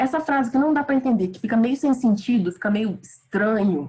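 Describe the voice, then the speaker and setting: This woman's voice sits at a fairly high pitch and is somewhat breathy. Her intonation is lively. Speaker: teacher. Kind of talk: online lecture. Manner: animated.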